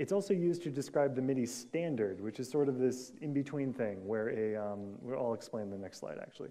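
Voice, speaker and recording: A man talks at a very fast pace with an American accent. His tone is dark and mellow, with ordinary pitch variation. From US Pacific Northwest. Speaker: conference speaker, software developer. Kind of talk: conference talk. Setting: stage with audience.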